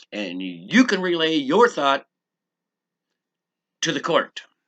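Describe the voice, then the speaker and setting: An animated tone over a quiet background. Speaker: legal self-help video maker. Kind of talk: casual instructional monologue. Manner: loud and clear.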